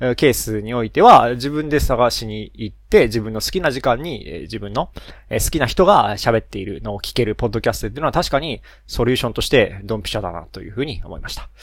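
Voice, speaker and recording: A man at medium pitch talks at a very fast pace, with lively intonation, vocal fry and big swings in loudness. The recording is very clean, with a silent background. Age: 30s. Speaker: solo podcaster, engineer and parent. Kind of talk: casual solo monologue. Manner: many fillers and self-corrections.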